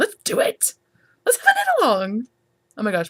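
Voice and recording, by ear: A woman puts on a squeaky character voice pitched high. She keeps a moderate pace while her loudness swings widely.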